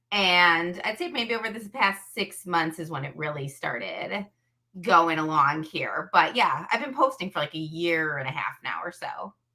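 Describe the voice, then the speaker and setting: Loudness swings widely as a woman with a strong Chicago accent talks at a moderate pace in a fairly low pitch with lively intonation. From US Midwest, Chicago area. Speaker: social media creator. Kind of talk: casual interview chat.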